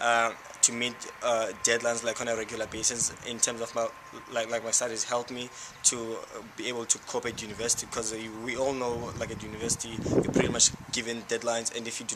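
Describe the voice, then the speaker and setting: Very fast, flat monotone speech from a man at medium pitch, over noticeable background noise. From South Africa, Cape Town township. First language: Xhosa. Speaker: university student. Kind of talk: interview. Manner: halting.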